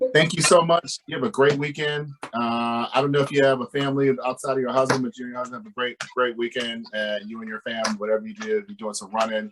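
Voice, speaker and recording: A man talks at a very fast pace with lively intonation and big swings in loudness, in a slight Southern US accent. Noticeable background noise sits behind him. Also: medium pitch for a man. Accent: slight Southern twang. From North Carolina. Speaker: podcast host. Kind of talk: interview. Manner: animated, stammering.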